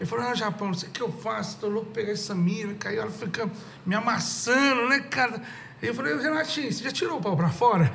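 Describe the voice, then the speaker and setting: This man's voice sits high in pitch, with lively intonation and a fairly quick pace, over noticeable background noise and audible room echo. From Goiânia, Brazil (moved young). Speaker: rock musician and venue owner. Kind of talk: casual chat.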